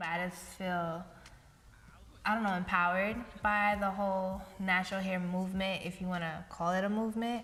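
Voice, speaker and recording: There is audible room echo as a woman with an American accent speaks at a moderate pace and medium pitch in a monotone, flat intonation. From Brooklyn, New York. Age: 20s. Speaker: documentary interviewee. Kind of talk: interview.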